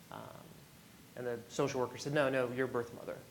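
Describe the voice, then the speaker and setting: The voice is soft-spoken, with monotone, flat intonation. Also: man. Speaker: panelist, adoptee and birth parent. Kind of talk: panel discussion.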